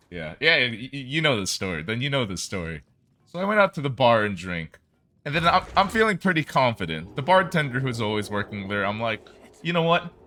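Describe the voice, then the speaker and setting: This man has a medium pitch, vocal fry, a bright, sharp tone and very wide pitch swings. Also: fairly quick pace. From South Korea, Seoul. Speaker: video game speedrunner and streamer. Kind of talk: casual livestream chat. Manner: animated.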